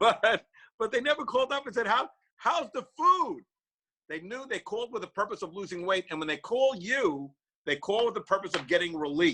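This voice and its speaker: At a fairly quick pace, a man uses a raised, projected voice that is high-pitched and bright, sharp in tone, with very wide pitch swings. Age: 60s. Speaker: practice coach for chiropractors. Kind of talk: motivational webinar talk.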